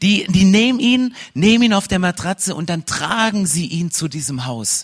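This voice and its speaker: The voice sounds energetic, moving at a moderate pace with very wide pitch swings. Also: man. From Saxony, eastern Germany. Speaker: pastor. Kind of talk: sermon.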